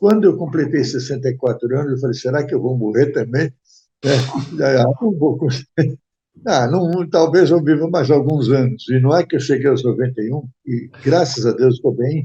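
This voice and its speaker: Somewhat breathy and dark, mellow in tone, a man's voice sits fairly high in pitch. Its pitch variation is ordinary. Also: moderate pace. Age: 90s. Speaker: retired events industry executive. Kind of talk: interview. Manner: halting.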